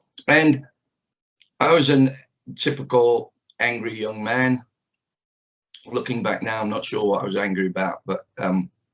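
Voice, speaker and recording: Someone speaks fairly slowly with a Manchester accent, using ordinary pitch variation. Long pauses come often. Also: man, medium pitch for a man. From northern England, Manchester. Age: 60s. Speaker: karate teacher. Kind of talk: interview. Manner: halting, many fillers.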